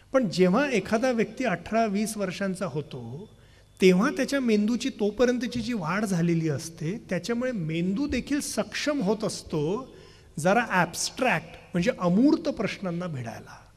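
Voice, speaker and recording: A high-pitched man speaks with lively intonation. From Vidarbha, Maharashtra (Gadchiroli); Maharashtra, India. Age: 30s. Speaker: youth program leader and speaker; speaker. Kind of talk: public lecture. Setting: stage with audience. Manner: fluent flowing delivery. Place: stage. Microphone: podium.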